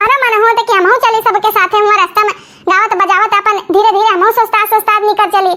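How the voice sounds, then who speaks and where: A woman's cartoonish character voice at an extremely high pitch, fairly quick in pace, with very even loudness and monotone, flat intonation. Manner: scolding, quarrelsome.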